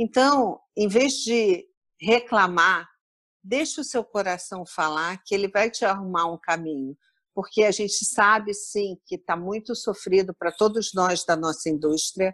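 A woman speaks in a normal speaking voice at a fairly slow pace with ordinary pitch variation. The sound is dry and close with no echo, over a quiet background. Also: medium pitch for a woman. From Rio de Janeiro suburbs, Brazil. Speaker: corporate travel speaker and author. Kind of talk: interview.

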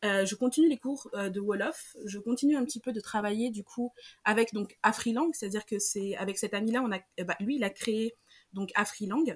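A woman's somewhat breathy voice sits at a fairly high pitch. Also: ordinary pitch variation, moderate pace. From Senegal. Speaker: illustrator. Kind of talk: interview.

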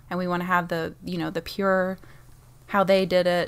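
The recording is very clean and the background silent. What you hear is a normal speaking voice. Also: woman. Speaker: guest on gaming podcast. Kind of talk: casual chat.

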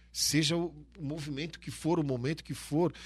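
Male speech, very cleanly recorded against a silent background. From Santa Catarina, Brazil (Brusque). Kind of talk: casual interview. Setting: studio.

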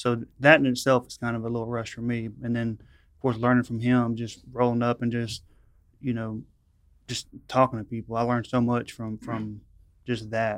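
A man with a Louisiana accent, medium in pitch, flat and monotone in intonation, with big swings in loudness. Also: moderate pace. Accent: Louisiana Southern. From rural northwest Louisiana. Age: 30s. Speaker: narcotics police officer. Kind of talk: casual chat.

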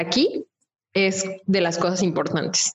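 A woman speaks at a medium pitch. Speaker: podcast co-host. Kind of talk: casual chat.

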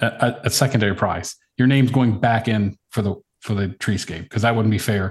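Speaking with an American accent, this man's voice is somewhat breathy. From Virginia, US. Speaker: woodworker. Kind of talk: casual chat.

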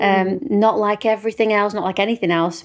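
A woman with a British accent speaks at a medium pitch with ordinary pitch variation in a very clean recording with a silent background. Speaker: podcast host, singer-songwriter. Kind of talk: casual interview chat. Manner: warm, upbeat.

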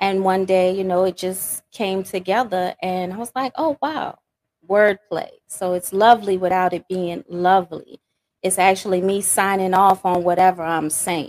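A woman in a Louisiana accent, medium pitch, ordinary pitch variation and moderate pace, with a dry, close sound and no echo. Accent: Louisiana Southern US. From Louisiana, US South. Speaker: poet and spoken word artist. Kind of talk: interview answering questions.

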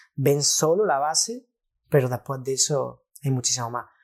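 Fairly high pitch for a man, in a normal speaking voice, with fairly even intonation and a moderate pace. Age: 20s. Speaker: trader. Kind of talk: casual chat.

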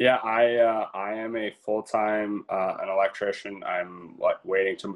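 A man with a Canadian accent at a fairly slow pace. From Ontario, Canada. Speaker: country singer. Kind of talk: interview.

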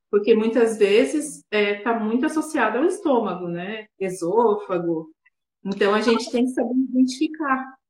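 A woman speaks at a moderate pace in a fairly high, somewhat breathy voice. Her intonation is lively. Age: 30s. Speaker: dentist. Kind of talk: interview.

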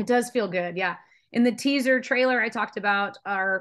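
A woman with an unremarkable speaking voice talks at a moderate pace with ordinary pitch variation over a quiet background. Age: 30s. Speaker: fitness coach and podcast co-host. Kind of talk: casual chat.

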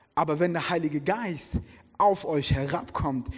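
Man speaking at a moderate pace. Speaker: guest preacher. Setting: church with congregation.

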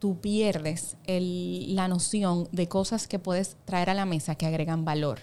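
A woman speaks at a fairly slow pace with hardly any pauses, her medium pitch, ordinary pitch variation, very even loudness and dark, mellow tone. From Dominican Republic, Samaná. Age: 20s. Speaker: insurance startup executive. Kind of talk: interview conversation.

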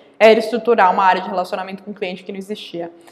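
A woman speaks at a medium pitch in a monotone, flat intonation. Noticeable background noise is present. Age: 20s. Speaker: real estate company CEO. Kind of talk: interview. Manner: halting, many fillers.

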